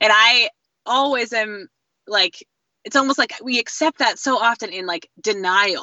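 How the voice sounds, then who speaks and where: A woman with an unremarkable speaking voice, at a moderate pace and with ordinary pitch variation. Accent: American. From US Northeast, southeastern Connecticut. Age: young. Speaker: commercial fisherman and community organizer. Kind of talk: casual interview. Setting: phone call.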